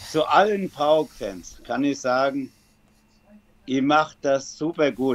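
A man speaks at a very slow pace in a fairly high voice with ordinary pitch variation, leaving long, frequent pauses. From Germany, Frankfurt area. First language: German (speaking Greek). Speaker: football fan. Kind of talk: interview.

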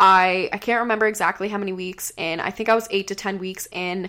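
A woman of medium pitch with a bright, sharp tone and fairly even intonation, in a very clean recording with a silent background. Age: 20s. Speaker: podcast co-host, former fitness model. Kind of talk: casual chat. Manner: rambling, fast.

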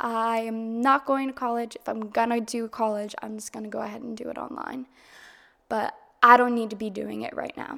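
Very clean and silent in the background, this recording has a woman with an American accent and a fairly high, bright, sharp voice at a moderate pace. Her intonation is monotone and flat, though her loudness swings widely. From Massachusetts, US. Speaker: podcast host. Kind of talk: solo podcast monologue, casual. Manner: monotone at times, casual; conversational, candid.

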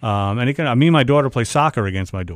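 A man with an American accent talks at a very fast pace. His medium-pitched voice carries lively intonation. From US Northeast (Long Island, New York). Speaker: garage door business owner. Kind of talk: radio call-in advice. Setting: studio.

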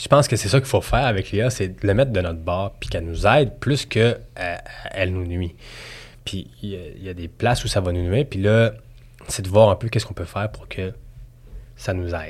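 A man with a Quebec accent speaks at a fairly quick pace, his pitch fairly low and its variation ordinary. His voice is somewhat breathy, with long, frequent pauses and big swings in loudness. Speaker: assistant director. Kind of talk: casual chat.

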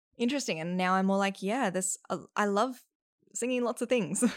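A woman at a moderate pace with ordinary pitch variation, on a very clean recording with a silent background. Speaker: actor and singing teacher. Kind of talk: casual chat.

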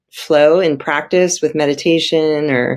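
A woman with a Californian accent. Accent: General American (Californian). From US, San Francisco Bay Area. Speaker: emergency room doctor. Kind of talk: interview.

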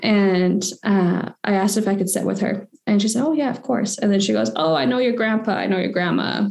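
Speaking fairly quickly with hardly any pauses, a woman keeps her loudness very even, her medium-pitched voice showing ordinary pitch variation. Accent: Western Canadian. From Victoria, British Columbia, Canada. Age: 20s. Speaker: policy specialist and graduate student. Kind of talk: interview. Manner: casual, with many fillers.

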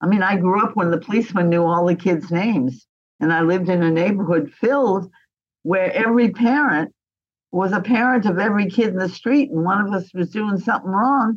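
Here is a woman with a plain, everyday voice at medium pitch. She talks at a fairly quick pace, with very even loudness and ordinary pitch variation. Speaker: interviewee. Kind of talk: interview.

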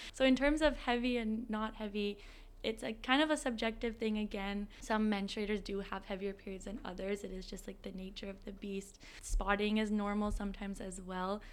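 An unremarkable speaking voice moves at a fairly quick pace with fairly even intonation and big swings in loudness. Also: woman, fairly high pitch for a woman. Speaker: student organization president. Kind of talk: interview conversation.

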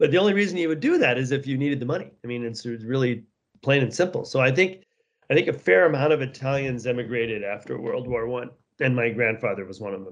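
A man speaks at a very fast pace with an American accent. His pitch is medium. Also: lively intonation. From US West Coast (San Jose, California; Seattle from 16). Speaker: winery owner. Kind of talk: interview.

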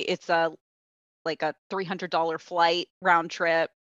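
A woman talks at a moderate pace in a fairly low voice, her intonation flat and monotone. The background is quiet, and the sound is dry and close with no echo. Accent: American. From Florida, US. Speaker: lawyer. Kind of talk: interview.

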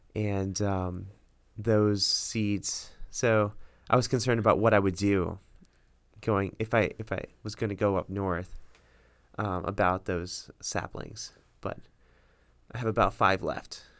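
On a very clean recording with a silent background, a man with an American accent speaks at a fairly slow pace and a fairly low pitch, with monotone, flat intonation and long, frequent pauses. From US South, Miami, Florida. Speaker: medical student, future radiologist. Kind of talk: casual chat.

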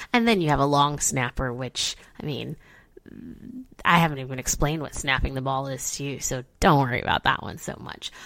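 With a Midwestern accent, a woman talks in an animated tone at a very deep, low pitch, using ordinary pitch variation, big swings in loudness and a fairly quick pace. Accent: general American, Midwestern. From Chicago, US Midwest. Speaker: podcast host explaining football. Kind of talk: educational explainer, casual chat. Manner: casual, animated, chatty.

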